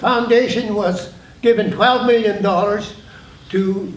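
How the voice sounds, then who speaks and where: Amid noticeable background noise and audible room echo, a man with a Canadian accent speaks in a high voice with ordinary pitch variation. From British Columbia, Canada (Prince Rupert). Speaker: internment survivor and community leader. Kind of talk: panel testimony. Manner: halting, many restarts.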